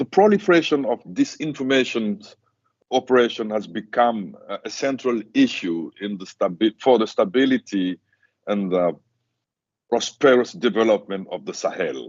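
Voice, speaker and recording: Medium in pitch for a man, this male voice moves at a moderate pace while swinging very widely up and down. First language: not English. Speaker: conference panelist. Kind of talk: conference presentation. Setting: university seminar with audience. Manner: halting, many fillers.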